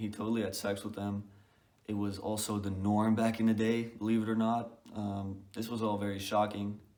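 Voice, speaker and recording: A man speaks at a moderate pace in a fairly low pitch, his tone dark and mellow and his intonation flat and monotone, with audible room echo. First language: not English. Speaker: book reviewer. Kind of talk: casual video review. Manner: hesitant, many fillers.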